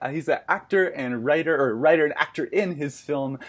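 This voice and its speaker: A man's fairly high-pitched, a plain, everyday voice at a fairly quick pace, with ordinary pitch variation. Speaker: podcast host. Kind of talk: interview host talk.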